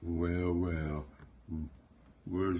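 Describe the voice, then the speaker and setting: A man speaks in a very deep, low voice. It sounds somewhat breathy. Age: 80s+. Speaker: storyteller. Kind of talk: read story. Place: home room. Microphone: phone near.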